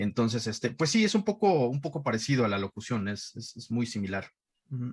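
A man speaks at a medium pitch and a fairly quick pace, somewhat breathy, with lively intonation and big swings in loudness against a quiet background. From Mexico City (Iztapalapa). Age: 40s. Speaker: voice actor and dubbing director. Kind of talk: casual interview.

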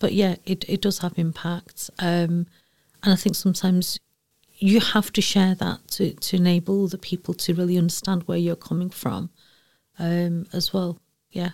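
In a Manchester accent, a woman talks at a moderate pace with a fairly low pitch. Her intonation is monotone and flat, and the sound is dry and close with no echo. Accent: Mancunian, broad. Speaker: EDI director at a university. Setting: lounge, in person.

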